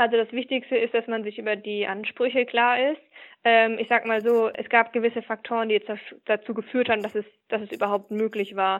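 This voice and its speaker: At a fairly quick pace, a woman talks in a fairly high pitch with monotone, flat intonation. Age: 20s. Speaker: business process manager. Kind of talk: interview. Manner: hesitant with fillers.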